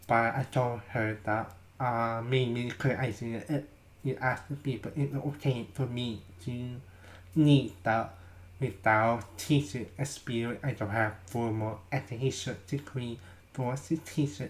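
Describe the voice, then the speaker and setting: The man's intonation stays fairly even as he talks at a fairly slow pace in a somewhat breathy voice. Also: medium pitch for a man. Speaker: vlogger. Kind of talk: casual vlog. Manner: halting.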